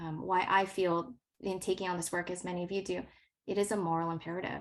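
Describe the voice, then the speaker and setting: A woman speaks in a Californian accent at a medium pitch. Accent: General American (California). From Los Angeles, US. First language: not English. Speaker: science educator. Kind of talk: workshop presentation.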